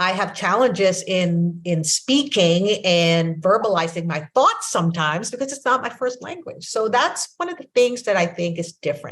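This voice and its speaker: A woman with a Filipino accent talks at a moderate pace with hardly any pauses, her medium-pitched voice carrying lively intonation and big swings in loudness. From Philippines. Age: 60s. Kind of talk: interview conversation.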